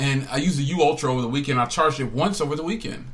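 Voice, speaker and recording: A man speaks with an American accent and ordinary pitch variation. The recording has audible room echo and noticeable background noise. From New Jersey. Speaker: tech podcaster and phone reviewer. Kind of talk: casual chat. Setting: live stream podcast. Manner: animated.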